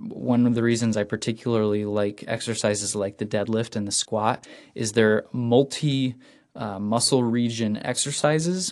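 A man in a plain, everyday voice speaks at a medium pitch and moderate pace, with ordinary pitch variation and big swings in loudness. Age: 20s. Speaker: cycling podcast host. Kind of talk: solo podcast monologue. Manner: casual with many fillers.

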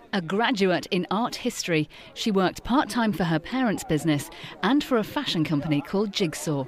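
At a fairly quick pace, a woman speaks in a medium pitch with very wide pitch swings and very even loudness, noticeable background noise behind her. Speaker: documentary narrator. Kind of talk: scripted narration.

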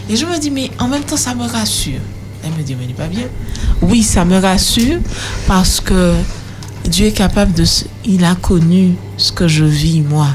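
Speech at a fairly slow pace with long, frequent pauses, audible room echo and noticeable background noise. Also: woman. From Martinique, Le Lamentin. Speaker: youth panelist. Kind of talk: radio panel discussion.

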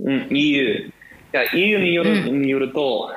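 A man with an American accent talks at a medium pitch with ordinary pitch variation. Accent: American-accented Japanese. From US. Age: 20s. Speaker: guest, Japanese learner, history student. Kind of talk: casual chat. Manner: halting.

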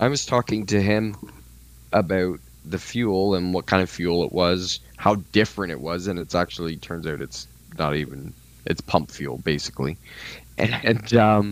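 A man's very deep, low voice in a Canadian accent, moderate pace, ordinary pitch variation and long, frequent pauses. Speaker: podcast host. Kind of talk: casual chat.

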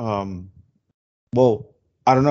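With a Spanish accent, a man speaks at a moderate pace. His pitch is medium, with ordinary variation. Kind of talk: casual chat. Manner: animated.

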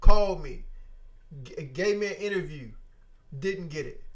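The intonation here is lively. It belongs to a man with a high-pitched voice. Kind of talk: casual faith-based podcast conversation. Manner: stutters, laughs at himself.

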